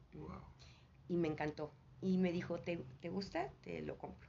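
Room echo is audible in this recording. A woman talks very slowly. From Mexico, Mexico City. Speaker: spiritual teacher. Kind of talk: interview. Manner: halting.

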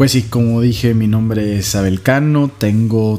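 A man at a medium pitch, with ordinary pitch variation and noticeable background noise. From Saltillo, Coahuila, Mexico. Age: 30s. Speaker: podcast co-host. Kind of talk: casual chat.

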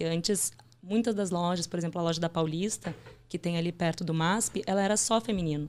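In a Rio Grande do Sul accent, a woman talks at a fairly quick pace, her fairly low pitch showing ordinary variation. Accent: gaúcho (Rio Grande do Sul). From southern Brazil, Porto Alegre. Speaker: management trainee. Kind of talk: interview.

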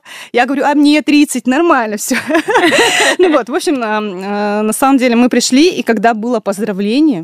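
A woman is speaking. Noticeable background noise runs through the clip. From Russia, Tyumen. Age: 30s. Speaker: entrepreneur, café and delivery restaurant co-founder. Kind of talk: radio interview. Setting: radio studio.

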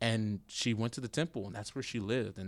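On a very clean recording with a silent background, a man with an American accent speaks in an ordinary speaking voice at a moderate pace, his pitch fairly low with ordinary variation. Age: 20s. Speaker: seminary student and church youth administrator. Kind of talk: casual chat.

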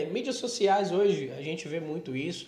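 A man speaks with lively intonation amid audible room echo. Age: 20s. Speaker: podcast host. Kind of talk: casual interview.

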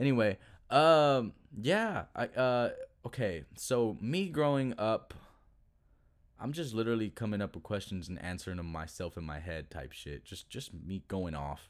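This man has an American accent and a fairly low pitch, moving at a moderate pace with very wide pitch swings and big swings in loudness. The recording is very clean, with a silent background. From Texas, Duncanville (Dallas area). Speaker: musician and podcast host. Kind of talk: casual solo monologue.

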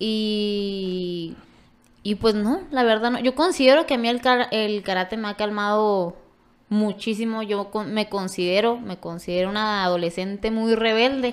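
Over a silent background in a very clean recording, a woman talks at a fairly slow pace with fairly high pitch and ordinary pitch variation. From Ojinaga, Chihuahua, Mexico. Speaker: karate athlete and coach. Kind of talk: casual chat.

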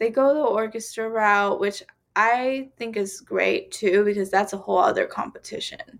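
At a moderate pace, a plain, everyday voice with an American accent moves through ordinary pitch variation. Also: woman. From US South, Georgia. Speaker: violinist. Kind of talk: casual chat.

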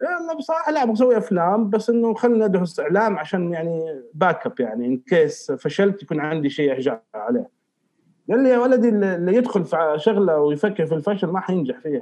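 Hardly pausing, a man speaks at a fairly quick pace. His high-pitched voice moves through very wide pitch swings. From Saudi Arabia, Riyadh. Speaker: filmmaker. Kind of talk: casual chat.

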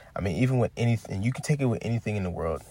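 Here a man speaks in a somewhat breathy voice. His pitch varies in an ordinary way. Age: 20s. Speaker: podcast host. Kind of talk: motivational monologue. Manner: casual, conversational.

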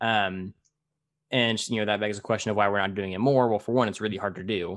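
A man talks very fast in a fairly low voice with an American accent. His intonation is flat and monotone. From US. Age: 20s. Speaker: podcast host. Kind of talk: casual interview.

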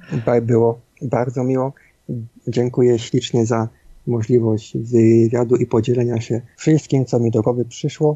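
A man speaks at a fairly slow pace in a medium-pitched, somewhat breathy voice, his intonation flat and monotone and his loudness very even. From Silesia, Poland (Bytom). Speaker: indie game developer and architectural visualiser. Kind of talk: interview. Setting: home studio. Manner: halting.

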